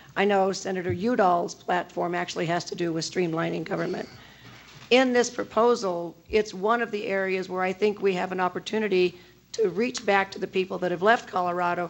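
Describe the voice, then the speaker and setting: A woman's normal speaking voice at medium pitch, with fairly even intonation and a fairly quick pace. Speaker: university representative. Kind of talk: panel discussion.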